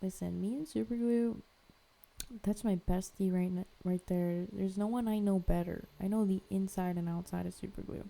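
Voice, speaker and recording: Mumbling at a moderate pace, a woman speaks at a medium pitch in a dark, mellow tone. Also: ordinary pitch variation. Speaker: artist, art vlogger. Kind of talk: casual chat to camera while crafting. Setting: home art studio. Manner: casual, filler-heavy, says um a lot; mumbling, poor enunciation.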